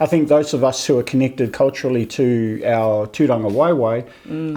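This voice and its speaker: Someone talks at a fairly quick pace with a New Zealand accent and ordinary pitch variation, with noticeable background noise behind them. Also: man. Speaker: podcast host. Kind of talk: casual podcast conversation.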